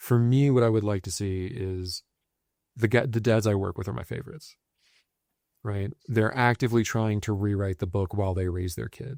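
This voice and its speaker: A man with a plain, everyday voice speaks at a moderate pace and a fairly low pitch with ordinary pitch variation, the sound dry and close with no echo on a very clean recording with a silent background. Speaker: men's violence prevention practitioner. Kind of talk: podcast conversation.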